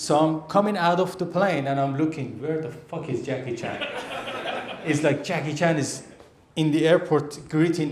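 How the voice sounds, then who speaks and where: A man with an Iranian accent and fairly even intonation over noticeable background noise. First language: Persian. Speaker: stand-up comedian. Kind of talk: live stand-up comedy set.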